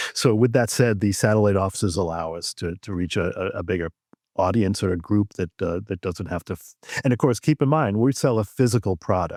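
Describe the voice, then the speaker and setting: A man's normal speaking voice with an American accent, fairly low in pitch with ordinary variation, at a fairly quick pace, on a very clean, dry, close recording with a silent background and no echo. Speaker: auctioneer and antiques appraiser, radio host. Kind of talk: casual podcast interview answer. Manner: conversational, relaxed, with fillers.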